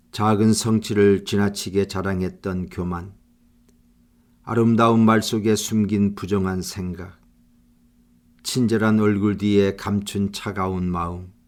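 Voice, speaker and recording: Speaking at a very slow pace with long, frequent pauses, a man delivers a solemn, flat monotone at a fairly low pitch. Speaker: prayer leader. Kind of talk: fervent confessional prayer, spoken to God. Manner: earnest, contrite, pleading; slow and solemn, tender in thanks and petition.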